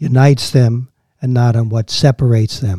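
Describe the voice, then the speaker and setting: Dry and close with no echo, a man with an American accent speaks fairly slowly at medium pitch in a somewhat breathy voice with a dark, mellow tone. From Washington DC area, Maryland. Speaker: historian. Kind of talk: interview.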